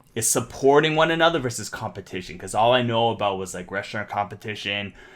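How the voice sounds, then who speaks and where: Over noticeable background noise, a man with a Canadian accent talks very fast at medium pitch, with lively intonation and big swings in loudness. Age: 30s. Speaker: streetwear brand founder. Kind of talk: casual chat.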